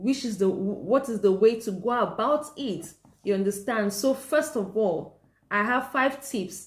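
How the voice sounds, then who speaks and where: A somewhat breathy woman talks at a fairly slow pace. Her tone is animated, with ordinary pitch variation. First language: not English; speaks several languages, mostly Danish. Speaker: parenting vlogger. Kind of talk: advice talk to camera. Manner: halting, many restarts and pauses; animated, earnest.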